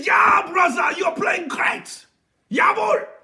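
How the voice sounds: Shouting in a raspy, put-on character voice with a German accent, a man reaches an extremely high pitch at a very slow pace.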